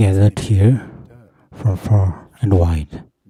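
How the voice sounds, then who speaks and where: In a dry, close recording with no echo, a man talks in a very deep, low voice that is somewhat breathy, with a dark, mellow tone and ordinary pitch variation. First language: not English. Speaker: Buddhist monastic speaker. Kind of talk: formal greeting. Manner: halting.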